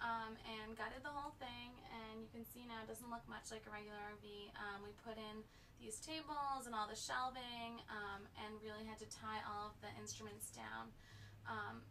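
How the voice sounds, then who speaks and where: A woman with a fairly high pitch speaks at a moderate pace and with fairly even intonation. Noticeable background noise is present. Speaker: engineering graduate student. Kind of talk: interview answer.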